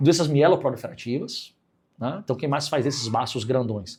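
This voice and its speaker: A man with lively intonation on a very clean recording against a silent background. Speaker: physician teaching clinical reasoning. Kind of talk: lecture. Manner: fast.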